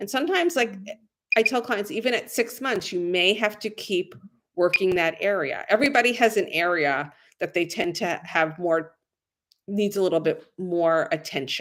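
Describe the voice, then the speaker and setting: In a very clean recording with a silent background, a woman with a plain, everyday voice speaks at a moderate pace and medium pitch with lively intonation. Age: 60s. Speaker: esthetician. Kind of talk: tutorial. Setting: live stream.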